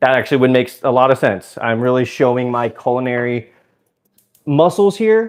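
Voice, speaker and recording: A man's plain, everyday voice in an American accent, with lively intonation at a fairly quick pace. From US South, Georgia (Suwanee). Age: 20s. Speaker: live streamer. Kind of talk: casual live stream chat.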